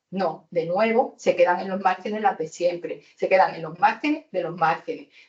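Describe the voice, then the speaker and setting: A woman has a plain, everyday voice, medium in pitch with ordinary pitch variation. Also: moderate pace. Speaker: housing activist on a panel. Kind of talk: panel debate.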